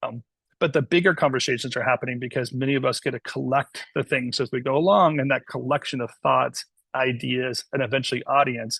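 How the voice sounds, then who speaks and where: Vocal fry runs through fairly quick speech with ordinary pitch variation. The sound is dry and close, with no echo. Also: man. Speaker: webinar host. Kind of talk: talk, then casual discussion. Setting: video call. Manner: fast.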